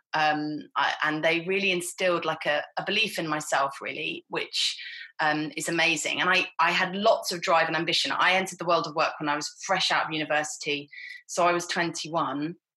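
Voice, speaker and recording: A woman with a fairly low voice talks at a moderate pace and with fairly even intonation. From Hertfordshire, England. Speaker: missionary, former advertising executive. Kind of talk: casual interview.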